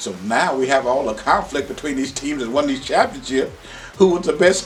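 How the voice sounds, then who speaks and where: The speaker has an American accent and lively intonation at a moderate pace. Music plays in the background. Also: man. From Oklahoma, rural. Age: 60s. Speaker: retired high school basketball coach. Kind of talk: interview storytelling. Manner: animated.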